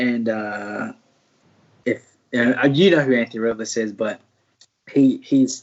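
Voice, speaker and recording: A man with an American accent at a medium pitch, speaking at a very slow pace. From US South, Martinsville, Virginia. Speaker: mixed martial arts fighter, former college wrestler. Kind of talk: interview. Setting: live stream.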